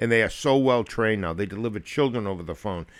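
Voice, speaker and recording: In a normal speaking voice, a man with an American accent talks at a fairly quick pace, his fairly low pitch showing ordinary variation, on a very clean recording with a silent background. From Massachusetts (Lowell area). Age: 60s. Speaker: podcast host, retired police officer, clinical social worker. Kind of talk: casual chat.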